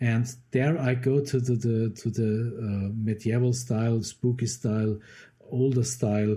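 A man with a German accent speaks at a medium pitch and fairly slow pace, in a dark, mellow tone. His voice is somewhat breathy and his intonation monotone and flat. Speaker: composer. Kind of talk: interview. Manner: halting.

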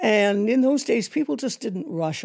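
A woman with a Canadian accent at a fairly slow pace. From Canada, Toronto. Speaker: theatre designer. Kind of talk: interview.

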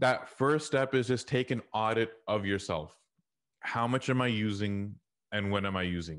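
A man with an American accent and an unremarkable speaking voice talks at a moderate pace and medium pitch with ordinary pitch variation over a quiet background. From US South, Houston, Texas. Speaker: technology consultant and leadership trainer. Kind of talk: interview.

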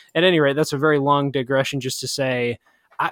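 Here a man is talking. His pace is very fast. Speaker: podcast host. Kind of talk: casual podcast conversation with co-host, book review; reading a poem aloud. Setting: remote recording, both in quarantine.

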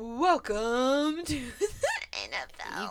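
A female-sounding voice in a high, put-on character voice. Background noise is clearly audible. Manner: booming, excited.

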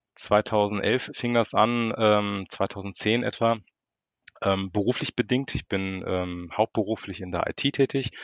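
Against a quiet background, a man with a fairly low pitch speaks at a very slow pace with fairly even intonation. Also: dry, close sound with no echo. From Frankfurt, Germany. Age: 40s. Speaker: street photographer. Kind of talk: casual chat. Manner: hesitant, many filler sounds.

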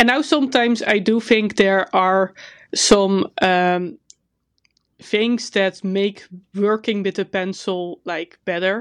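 A woman at a very slow pace, ordinary pitch variation, dry, close sound with no echo, and a quiet background. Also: medium pitch for a woman. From Netherlands. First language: Dutch. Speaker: podcast co-host and artist. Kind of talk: casual chat.

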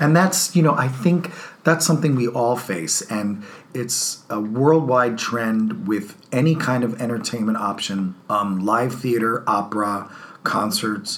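A man with an American accent speaks at a fairly slow pace. His intonation is lively, and there is noticeable background noise. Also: medium pitch for a man. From New Jersey. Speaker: theater artistic director. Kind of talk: interview.

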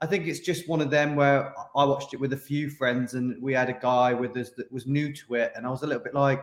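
At a fairly quick pace, a man speaks with fairly even intonation and medium pitch.

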